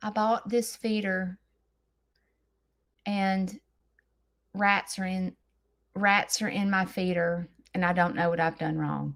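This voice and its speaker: A woman speaks very slowly in a Southern US accent. She leaves long, frequent pauses. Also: medium pitch for a woman. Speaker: farm lifestyle content creator. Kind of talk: live stream chat. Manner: animated; theatrical.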